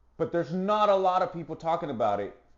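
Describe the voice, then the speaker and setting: A man is shouting loudly. His pitch is high. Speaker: fitness podcast host. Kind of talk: motivational monologue. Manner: loud, yelling; halting, repetitive.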